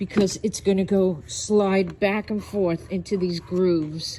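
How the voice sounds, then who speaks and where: A woman speaks very slowly with a New York accent, at a medium pitch and with fairly even intonation. Her tone is dark and mellow, and somewhat breathy. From New York City. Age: 70s. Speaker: online video host. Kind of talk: product review.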